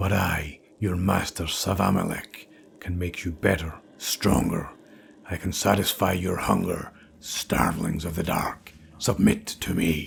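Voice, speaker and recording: In a put-on character voice with very deep, low pitch, a man talks at a fairly slow pace. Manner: commanding, menacing.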